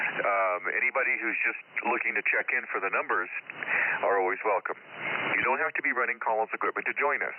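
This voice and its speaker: Someone talks at a very fast pace in an American accent, with noticeable background noise behind the voice. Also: man. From San Francisco Bay Area. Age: 60s. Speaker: ham radio net control operator. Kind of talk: radio net preamble and check-ins. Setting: amateur radio transmission.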